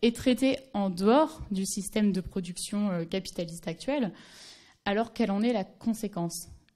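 A woman with a fairly high pitch and a somewhat breathy, dark, mellow tone speaks fairly slowly with ordinary pitch variation against a quiet background. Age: 20s. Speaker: anthropology doctoral student; speaker. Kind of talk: conference talk. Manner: halting, many fillers. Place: hall. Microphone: podium.

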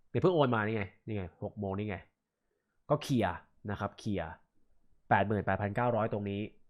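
Against a quiet background, a man speaks in a fairly low voice with ordinary pitch variation. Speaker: gaming streamer. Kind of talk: live stream statement. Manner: halting.

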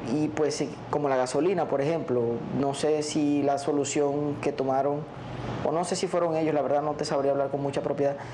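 Over noticeable background noise, a man talks at a fairly quick pace in a fairly high pitch, his intonation monotone and flat. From La Guajira, Colombia. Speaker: relative of kidnapping victim. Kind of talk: interview answer. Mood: serious, thoughtful. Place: studio. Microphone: lapel.

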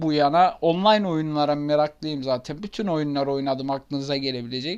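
A man talks with a fairly high pitch and ordinary pitch variation. The background stays quiet. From Turkey, Ankara. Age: 20s. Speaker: gaming YouTuber. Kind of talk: casual self-introduction to camera. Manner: hesitant, many fillers.

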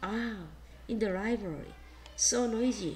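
The speaker talks at a fairly slow pace. Noticeable background noise runs under the voice. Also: woman. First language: Korean. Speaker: primary school English teacher. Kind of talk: online class lesson. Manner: halting, many fillers.

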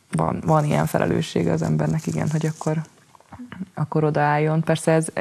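Loudness stays very even throughout. The pace is fairly quick. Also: woman. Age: 20s. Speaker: poet, writer, slam poet. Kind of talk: interview answer. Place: studio.

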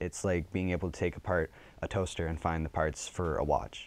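A man with a very deep, low voice speaks at a fairly quick pace with fairly even intonation, the sound dry and free of echo. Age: young. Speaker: journalism student. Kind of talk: interview answer. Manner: passionate. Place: studio. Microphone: lapel.

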